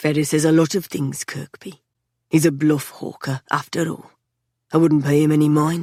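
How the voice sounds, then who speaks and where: A put-on character voice sits at a middle pitch with monotone, flat intonation. It is quiet and moves at a moderate pace. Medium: read story. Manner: calm, unhurried, quietly menacing.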